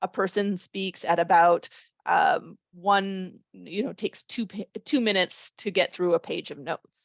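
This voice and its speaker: At a moderate pace and medium pitch, a woman speaks in a normal speaking voice, the sound dry and close with no echo over a quiet background. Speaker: professor. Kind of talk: lecture.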